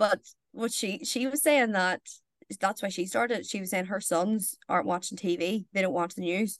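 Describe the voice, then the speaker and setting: Over a quiet background, a woman speaks at medium pitch and a moderate pace. Her pitch varies in an ordinary way. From Northern Ireland, County Tyrone. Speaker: journalist. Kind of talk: casual chat.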